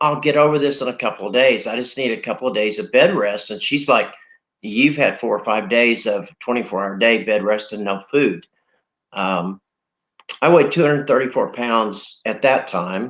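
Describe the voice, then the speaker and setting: With an American accent, a man of medium pitch talks at a moderate pace in an unremarkable speaking voice with ordinary pitch variation. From Oklahoma. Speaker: COVID-19 survivor. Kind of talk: interview testimony.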